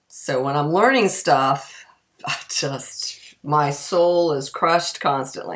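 A woman with a very deep, low pitch, at a very slow pace, with ordinary pitch variation and a quiet background. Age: 50s. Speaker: community theatre actor. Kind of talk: casual talk to camera. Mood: wry, self-mocking. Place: kitchen. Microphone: webcam.

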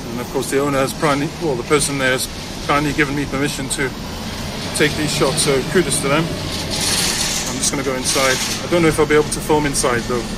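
A man talks fairly quickly as loud background noise fills the clip. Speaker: vlogger filming a shop. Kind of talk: casual vlog chat. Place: street. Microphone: phone near.

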